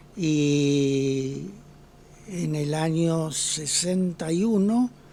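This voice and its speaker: A man's fairly high voice with ordinary pitch variation over noticeable background noise. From Argentina, Ceres (Santa Fe). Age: 80s+. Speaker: retired pediatrician. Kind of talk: interview.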